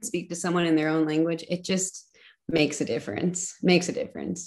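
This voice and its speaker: Speaking at a fairly quick pace, a woman with a fairly low pitch uses an ordinary speaking voice. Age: 30s. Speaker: missionary. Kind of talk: casual chat.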